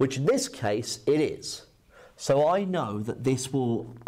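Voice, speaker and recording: There is light background noise as a man with a dark, mellow tone speaks at a fairly slow pace. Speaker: maths teacher. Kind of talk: lecture. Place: classroom.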